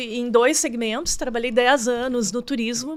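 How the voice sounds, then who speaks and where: A woman's high voice at a moderate pace. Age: 60s. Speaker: marketing consultant. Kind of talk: interview.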